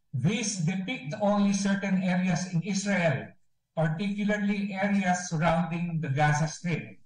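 A high-pitched male voice at a fairly slow pace, ordinary in its pitch variation, with audible room echo over a quiet background. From Philippines. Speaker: ambassador. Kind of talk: press briefing statement. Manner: formal. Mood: solemn, somber. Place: office. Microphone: video call.

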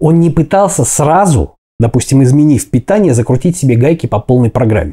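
At a fairly quick pace, a man with a fairly high pitch and a dark, mellow tone sounds somewhat breathy, his loudness very even against a quiet background. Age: 40s. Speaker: fitness video blogger; fitness vlogger. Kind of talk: motivational talk to camera. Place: kitchen. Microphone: lapel.

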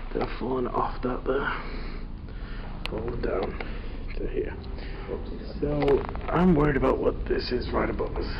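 Noticeable background noise runs under a man talking at a moderate pace with long, frequent pauses. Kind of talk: casual exploration chat. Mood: wary, joking. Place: empty room. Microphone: phone near.

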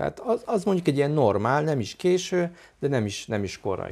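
A man at a moderate pace. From Hungary. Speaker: violinist and chamber music teacher; chamber music teacher. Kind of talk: interview. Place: home room. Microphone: lapel.

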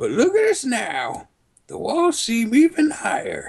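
The voice has an extremely high pitch with very wide pitch swings, moving at a fairly slow pace. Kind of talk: comic overacting of game dialogue. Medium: game stream. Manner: gruff, reluctant, then wistful.

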